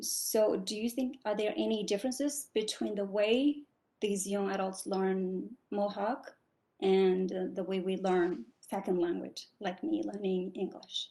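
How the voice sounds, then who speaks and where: Speaking at a fairly slow pace, a woman with a non-native accent uses lively intonation and a dark, mellow tone at medium pitch. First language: not English. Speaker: graduate student asking a question. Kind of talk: question in online Q&A. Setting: online video call.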